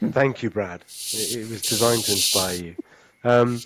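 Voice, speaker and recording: On a very clean recording with a silent background, a man with a plain, everyday voice and medium pitch talks at a moderate pace. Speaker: podcast host. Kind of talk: casual chat.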